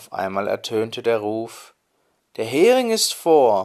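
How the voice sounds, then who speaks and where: A calm, soothing tone at a very slow pace, in a very clean recording with a silent background. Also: man. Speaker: storyteller. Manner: calm, soothing, measured storytelling pace.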